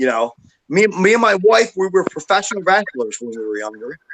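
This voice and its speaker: In a raised, projected voice, a man speaks high and fairly quickly with a bright, sharp tone and very wide pitch swings, the sound dry and close with no echo. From Philadelphia suburbs, US. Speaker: political activist, former professional wrestler. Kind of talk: casual chat. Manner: halting.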